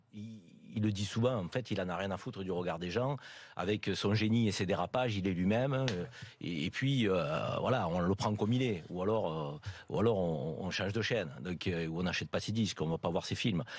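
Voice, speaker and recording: A man with a Marseille accent speaks at a fairly low pitch. His pace is fairly quick, with ordinary pitch variation. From Marseille, southern France. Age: 50s. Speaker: radio panelist. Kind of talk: talk radio panel discussion. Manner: halting, many hesitations.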